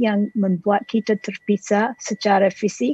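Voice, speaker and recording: A woman's somewhat breathy voice at medium pitch and a fairly slow pace, with an English accent. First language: English (speaking Indonesian). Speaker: dramaturg and translator. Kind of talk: panel presentation. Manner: halting, many hesitations.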